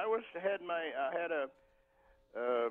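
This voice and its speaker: This man's voice shows ordinary pitch variation. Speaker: caller. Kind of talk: phone-in health question. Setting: phone call.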